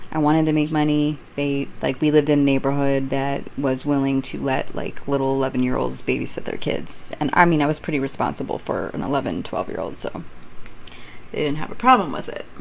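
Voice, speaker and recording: A woman talks at a fairly quick pace in a very deep, low pitch with ordinary pitch variation. Noticeable background noise is present. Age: 40s. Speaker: YouTuber telling personal stories. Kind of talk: casual storytelling monologue. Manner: unscripted, meandering.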